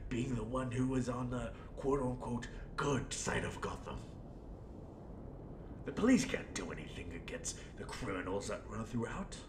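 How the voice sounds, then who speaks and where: A man puts on a character voice at a medium pitch and a moderate pace, with long, frequent pauses. Loud background noise runs behind him. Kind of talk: audio role play monologue. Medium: role play. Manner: rambling, theatrical.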